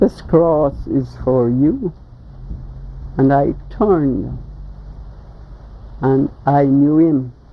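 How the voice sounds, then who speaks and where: In a Caymanian accent, a woman speaks with a very deep, low pitch and ordinary pitch variation. Her pace is very slow, her loudness very even, with long, frequent pauses. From Cayman Islands. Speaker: folk artist. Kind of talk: oral history interview answer. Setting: home interview, analogue recording.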